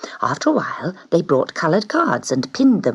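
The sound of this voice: The clip carries an unforced reading voice.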